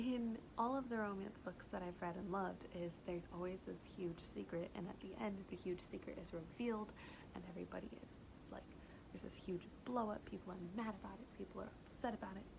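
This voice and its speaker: A normal speaking voice from a woman at medium pitch, fairly quick, with ordinary pitch variation. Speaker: book vlogger. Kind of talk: casual talk to camera.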